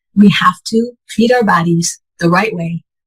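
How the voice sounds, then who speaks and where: The speech moves at a moderate pace and sounds somewhat breathy. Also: woman. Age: 60s. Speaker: patient sharing health story. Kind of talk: interview testimony.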